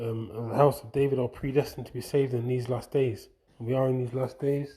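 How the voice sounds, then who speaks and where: Somewhat breathy and dark, mellow in tone, a man's medium-pitched voice moves at a fairly quick pace in monotone, flat intonation. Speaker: religious channel presenter. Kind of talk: religious teaching with article reading. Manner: halting, many fillers.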